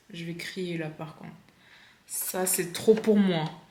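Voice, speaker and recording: A woman speaks at a very slow pace amid audible room echo and noticeable background noise. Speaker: sewing vlogger. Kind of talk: casual vlog tutorial. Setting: at home. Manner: animated.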